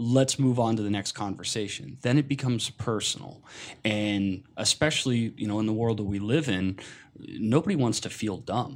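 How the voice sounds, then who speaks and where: In a very clean recording with a silent background, a man with an American accent speaks at a moderate pace. He has a normal speaking voice at a medium pitch with ordinary pitch variation. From US Pacific Northwest, Seattle. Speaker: podcast guest. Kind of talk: casual chat.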